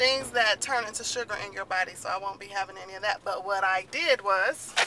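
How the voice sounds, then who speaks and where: Noticeable background noise sits under a woman speaking at a moderate pace with ordinary pitch variation. The sound is dry, with no echo. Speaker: family vlogger. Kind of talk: casual vlog chat. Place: car. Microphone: phone near.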